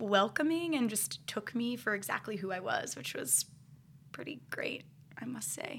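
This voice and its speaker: With an American accent, this voice has a bright, sharp tone, vocal fry and very wide pitch swings at a fairly slow pace. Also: woman. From Ohio, US Midwest. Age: 20s. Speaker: dancer turned clinician. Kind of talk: casual chat.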